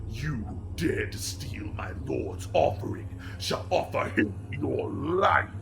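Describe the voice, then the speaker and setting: Over loud background noise, a man uses a booming, put-on character voice, fairly low in pitch and at a fairly slow pace. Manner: menacing, commanding.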